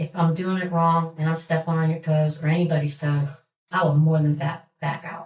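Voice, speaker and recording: Her voice is somewhat breathy and fairly low in pitch for a woman. She speaks with flat, monotone intonation. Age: 60s. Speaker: community volunteer organizer. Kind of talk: public meeting remarks. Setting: township trustee meeting. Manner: halting.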